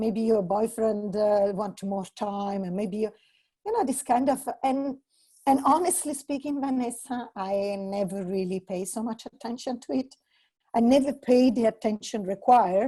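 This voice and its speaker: A woman with an Italian accent speaks at a moderate pace in a dark, mellow, somewhat breathy voice pitched fairly high, with ordinary pitch variation. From Italy. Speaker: entrepreneur. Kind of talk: casual chat.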